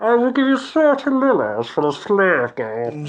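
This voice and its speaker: A put-on character voice at a fairly high pitch and moderate pace. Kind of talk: posh.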